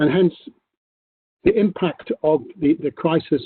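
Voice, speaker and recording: A man speaks in a British accent with ordinary pitch variation. His pace is fairly slow. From UK. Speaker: corporate tax executive. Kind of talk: panel discussion. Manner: halting, many fillers.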